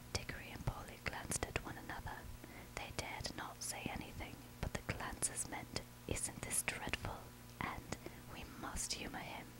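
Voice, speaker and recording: Someone is whispering. There is noticeable background noise behind the voice. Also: moderate pace. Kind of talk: audiobook reading of a children's novel. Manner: whispered.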